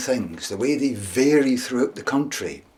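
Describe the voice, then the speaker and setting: Noticeable background noise is audible. Over it, a man talks. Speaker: storyteller. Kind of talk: storytelling.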